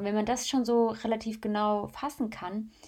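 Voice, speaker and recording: The recording is very clean with a silent background. A woman speaks in an unremarkable speaking voice. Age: 20s. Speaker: influencer and podcaster. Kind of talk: solo podcast monologue. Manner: casual, chatty.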